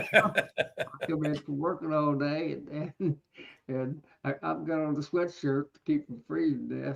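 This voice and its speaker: A man speaks at a fairly high pitch with fairly even intonation. His moderate pace is broken by long, frequent pauses. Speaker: beekeeper. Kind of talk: casual chat. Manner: soft-spoken. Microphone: too quiet.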